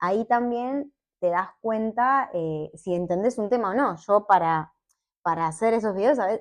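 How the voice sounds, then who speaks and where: A woman speaks in a plain, everyday voice at a medium pitch, her intonation lively. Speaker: petroleum engineer and science communicator. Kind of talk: casual interview chat.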